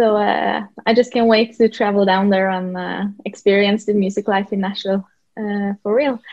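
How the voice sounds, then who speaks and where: At a moderate pace, a woman with a Norwegian accent talks in a medium pitch with monotone, flat intonation. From Norway. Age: 20s. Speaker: country singer-songwriter. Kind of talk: interview. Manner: halting, many fillers.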